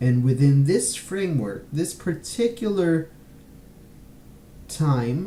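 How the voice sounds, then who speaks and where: A man's very slow, somewhat breathy voice with a dark, mellow tone and lively intonation. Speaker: podcast host. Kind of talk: casual podcast commentary. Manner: halting, hesitant, many filler sounds.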